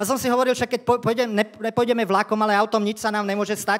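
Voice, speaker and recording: A very fast, monotone man's voice with flat intonation. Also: quiet background. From Slovakia. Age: 50s. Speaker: stand-up comedian. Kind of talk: stand-up. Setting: stage with audience. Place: stage. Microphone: handheld.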